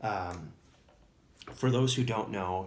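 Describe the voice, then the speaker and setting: In a Wisconsin accent, a man with a fairly low voice speaks at a moderate pace with fairly even intonation amid audible room echo. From Wisconsin, US Upper Midwest. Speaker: tabletop miniatures hobbyist YouTuber. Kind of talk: casual show-and-tell video. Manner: hesitant, many fillers.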